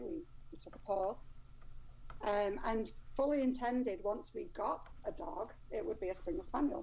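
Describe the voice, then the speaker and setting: With an English accent, a woman talks in a dark, mellow tone and lively intonation. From England. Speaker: dog rescue volunteer. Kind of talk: interview. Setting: live stream.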